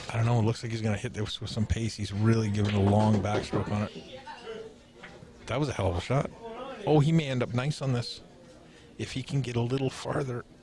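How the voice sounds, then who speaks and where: A man talks at a very fast pace with long, frequent pauses. Noticeable background noise is present. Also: medium pitch for a man, ordinary pitch variation. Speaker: pool commentator. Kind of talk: live commentary.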